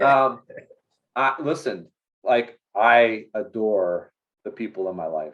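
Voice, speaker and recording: Speaking at a very slow pace with long, frequent pauses, a man with an American accent holds a medium pitch. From northern Illinois, US Midwest. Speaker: business owner, CEO. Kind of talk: interview. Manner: casual, many fillers and restarts.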